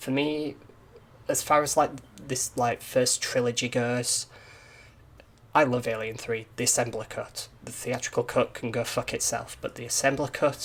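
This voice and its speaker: A man speaks in a Yorkshire accent at a moderate pace. His speech has long, frequent pauses. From Yorkshire, northern England. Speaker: indie game developer and YouTuber. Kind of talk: casual monologue, film review. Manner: hesitant, many repeats and fillers.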